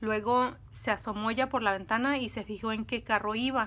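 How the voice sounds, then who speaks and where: This voice has a bright, sharp tone and a moderate pace. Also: woman. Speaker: video creator telling stories. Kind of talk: casual storytelling monologue, dramatic narration in the 3:44 stretch. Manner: animated, suspenseful, dramatic pacing with asides to viewers; conversational, halting with fillers. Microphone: phone near.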